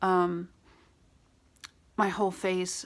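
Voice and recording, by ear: Raspy speech with vocal fry. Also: woman.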